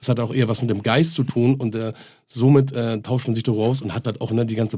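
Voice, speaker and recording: A man talks at a very fast pace. His voice is somewhat breathy, with a dark, mellow tone. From northern Germany. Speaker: music label owner. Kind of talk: casual chat.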